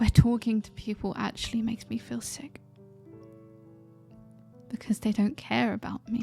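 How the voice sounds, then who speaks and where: A woman with a British accent speaks at a moderate pace over music in the background. She takes long, frequent pauses, and her loudness swings widely. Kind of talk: ASMR roleplay. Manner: vulnerable, emotional.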